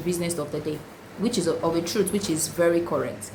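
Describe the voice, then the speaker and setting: The speech moves at a moderate pace with ordinary pitch variation, heard through noticeable background noise and audible room echo. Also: woman. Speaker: lawyer. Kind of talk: tutorial.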